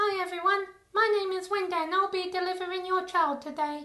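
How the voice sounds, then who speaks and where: A put-on character voice, female-sounding and squeaky, pitched extremely high, moves at a fairly quick pace. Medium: machinima. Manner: casual, flippant.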